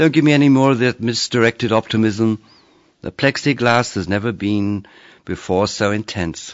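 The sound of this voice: With ordinary pitch variation, someone reads in an unforced reading voice.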